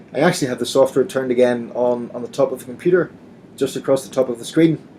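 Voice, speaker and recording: A man with a Northern Irish accent speaks at a very fast pace. His pitch is medium, with ordinary variation. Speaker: assistive software company trainer presenting. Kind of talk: webinar presentation.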